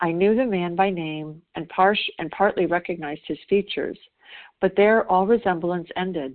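With a normal speaking voice, a woman talks at a moderate pace, fairly low in pitch and with fairly even intonation. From US South. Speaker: twelve-step group member. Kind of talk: reading aloud. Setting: phone call.

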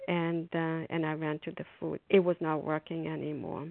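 A woman with a fairly low pitch speaks fairly slowly in a monotone, flat intonation. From immigrant, came at fifteen. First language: non-English. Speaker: twelve-step meeting member. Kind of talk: phone meeting share. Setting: phone call.

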